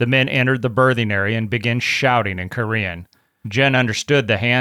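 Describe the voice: Plain reading aloud, fairly even intonation, and a quiet background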